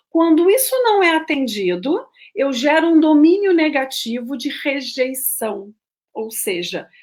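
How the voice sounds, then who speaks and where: A woman speaks here. Her pitch swings very widely. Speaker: therapist / coach giving talks on schema therapy. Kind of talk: live-stream lecture. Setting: solo live stream.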